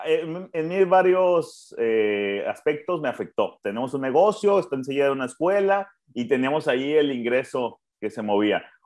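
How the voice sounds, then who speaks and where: A man uses a plain, everyday voice with a fairly high pitch. He keeps a moderate pace with lively intonation. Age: 20s. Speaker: podcast co-host, café owner. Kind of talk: casual chat. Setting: at home.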